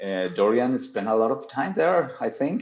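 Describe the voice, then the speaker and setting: A man speaks with a Colombian accent. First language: Spanish. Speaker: podcast guest. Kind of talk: casual chat. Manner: halting, frequent repetitions.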